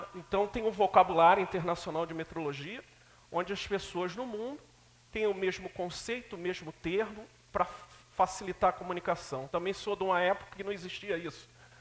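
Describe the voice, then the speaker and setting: Against noticeable background noise, a man with a high voice talks at a fairly quick pace using fairly even intonation. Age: 60s. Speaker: lecturer on metrology and quality. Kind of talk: lecture.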